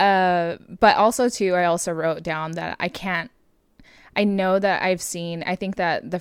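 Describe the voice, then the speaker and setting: On a very clean recording with a silent background, a woman speaks with an American accent. She uses a normal speaking voice, fairly low in pitch, at a fairly slow pace. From Southern California. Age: 20s. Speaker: podcast co-host. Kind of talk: casual chat. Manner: frequent laughter, relaxed.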